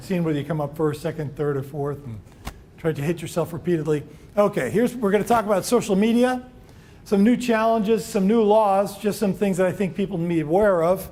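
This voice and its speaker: Very fast, lively speech with audible room echo. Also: man, high pitch for a man. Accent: American. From New York. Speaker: employment lawyer. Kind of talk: seminar lecture. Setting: room with live audience.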